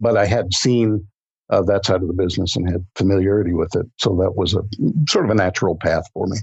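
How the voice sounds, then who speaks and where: A man with a fairly low pitch talks at a very fast pace, his voice somewhat breathy and his intonation fairly even. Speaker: audiobook narrator and voice-over artist. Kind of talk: interview answer. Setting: podcast interview recording.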